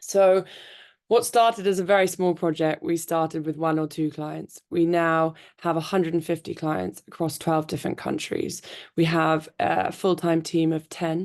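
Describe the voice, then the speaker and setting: Against a quiet background, a woman with a British accent talks at a moderate pace in a fairly low pitch, her intonation fairly even. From United Kingdom. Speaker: tech company founder. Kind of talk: panel talk.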